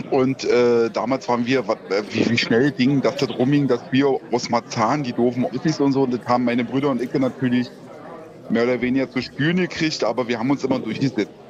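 Over noticeable background noise, a man at a medium pitch talks at a fairly quick pace with fairly even intonation and very even loudness. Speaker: caller. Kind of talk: casual chat. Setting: phone call.

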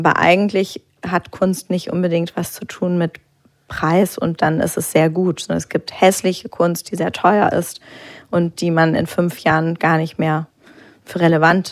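A woman's fairly low pitch, monotone, flat intonation and fairly slow pace. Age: 30s. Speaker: art auction house director. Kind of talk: live public talk interview. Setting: stage with audience.

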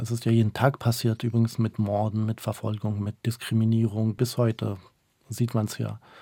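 On a very clean recording with a silent background, a man speaks at a medium pitch in a dark, mellow tone with monotone, flat intonation. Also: moderate pace. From northern Iraq, Mosul; moved to Germany at age 9. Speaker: interpreter and human rights activist. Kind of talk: radio interview.

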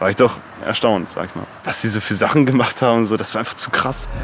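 A medium-pitched man at a very fast pace with ordinary pitch variation and noticeable background noise. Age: 20s. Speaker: rapper. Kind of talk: interview.

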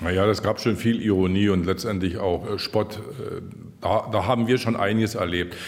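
Speaking at a moderate pace, a man with a fairly low pitch keeps very even loudness and fairly even intonation. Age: 60s. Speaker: retiring district administrator. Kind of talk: interview. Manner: hesitant, many fillers.

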